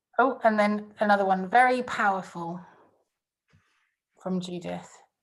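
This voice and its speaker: Fairly slow and with fairly even intonation, a woman at a medium pitch has a plain, everyday voice. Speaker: online workshop facilitator. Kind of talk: group workshop discussion.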